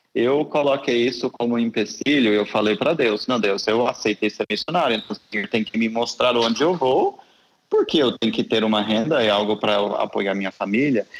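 With an American accent, a man talks at a fairly quick pace in a medium pitch with ordinary pitch variation. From US South, Tennessee. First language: English (speaking Portuguese). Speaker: missionary. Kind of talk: interview.

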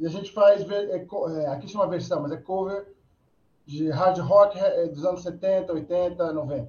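Speaking at a very slow pace, a man has a high pitch. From Brazil, Atibaia (São Paulo state). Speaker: rock musician, band vocalist. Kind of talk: casual chat. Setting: live video stream.

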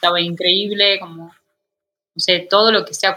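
Speaking fairly slowly, a woman holds a medium pitch in a monotone, flat intonation. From Argentina, Tucumán. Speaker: illustrator and painter. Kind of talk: interview conversation.

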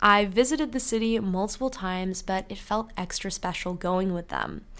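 With a Canadian accent, a woman speaks at a moderate pace in a bright, sharp tone, her pitch medium with ordinary variation. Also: very clean recording, silent background. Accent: sounds Canadian. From UK. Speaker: student podcast host. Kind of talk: casual solo podcast monologue.

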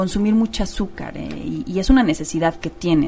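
Music plays in the background as a woman speaks at a fairly quick pace with ordinary pitch variation. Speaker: radio host. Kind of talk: radio talk show interview.

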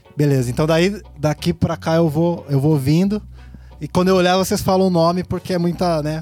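A man's dark, mellow voice at a fairly high pitch. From Brazil, Piracicaba (São Paulo state interior). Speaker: rapper. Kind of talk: casual chat. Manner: halting.

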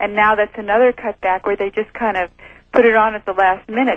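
A woman's normal speaking voice, fairly high in pitch, with ordinary pitch variation and a moderate pace. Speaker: former flight attendant. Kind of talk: interview.

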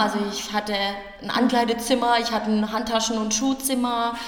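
A woman with a fairly high pitch talks at a moderate pace. Audible room echo and noticeable background noise fill the recording. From rural Germany, small village. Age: 30s. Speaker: yoga teacher and herbalist. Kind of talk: casual interview.

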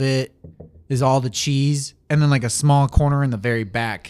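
A man talks at a moderate pace in a medium pitch with fairly even intonation. He has an ordinary speaking voice. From Saginaw, Michigan, Mexican-American family. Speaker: podcast co-host. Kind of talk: casual chat. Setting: home recording, sunroom.

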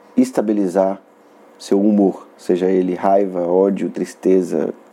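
With a dark, mellow tone, a man speaks fairly slowly in a fairly low, monotone voice with flat intonation. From northern Minas Gerais, Brazil (Montes Claros). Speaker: comedian and podcast host. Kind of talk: comedic solo monologue. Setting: solo recording in Belo Horizonte.

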